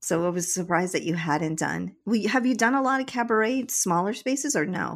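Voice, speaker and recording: A woman with a medium-pitched voice talks at a fairly quick pace with lively intonation, recorded very cleanly against a silent background. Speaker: podcast host and marketing director. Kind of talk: casual interview. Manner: enthusiastic.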